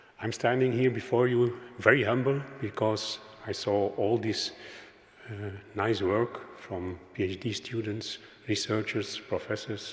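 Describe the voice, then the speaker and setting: In a room with audible echo, a man with a Flemish accent speaks at a medium pitch and fairly slow pace, his intonation fairly even. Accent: Flemish Dutch. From Flanders, Belgium. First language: Dutch. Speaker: primary healthcare worker. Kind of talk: conference presentation. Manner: halting.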